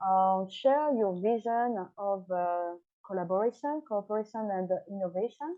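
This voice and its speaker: A fairly slow pace and lively intonation, in a French accent. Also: woman. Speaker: tourism organization head, panel host. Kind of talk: panel moderation. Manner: halting, many fillers.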